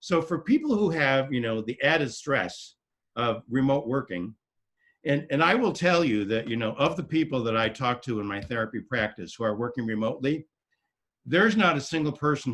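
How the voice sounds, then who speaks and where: This man's intonation is lively, and the background stays quiet. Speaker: therapist. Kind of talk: talk to a town hall meeting. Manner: fast.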